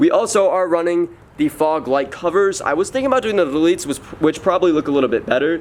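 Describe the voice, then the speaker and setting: The speaker talks at a very fast pace in an animated tone. The intonation is lively throughout. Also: man. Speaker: car vlogger. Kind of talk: casual walkaround tutorial.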